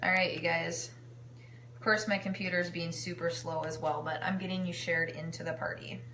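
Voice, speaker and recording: Her voice is fairly low for a woman, with lively intonation at a fairly quick pace. Audible room echo and noticeable background noise fill the recording. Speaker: home cooking live streamer and kitchenware consultant. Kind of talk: casual live-stream cooking demo.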